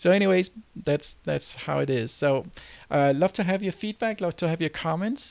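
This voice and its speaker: On a very clean recording with a silent background, a man speaks with a Danish accent. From Denmark. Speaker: entrepreneur and website tutor. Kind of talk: tutorial. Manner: halting, many fillers.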